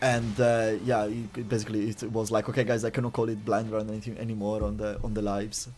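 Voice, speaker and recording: Speaking very fast in an Italian accent, a man keeps a fairly low pitch and monotone, flat intonation. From Italy. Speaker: streamer. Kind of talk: casual chat. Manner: halting, many fillers.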